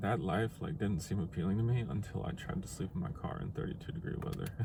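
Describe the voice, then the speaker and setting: A man's very deep, low voice with lively intonation at a fairly quick pace, amid audible room echo and noticeable background noise. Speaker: vlogger. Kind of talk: video diary. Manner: casual, halting.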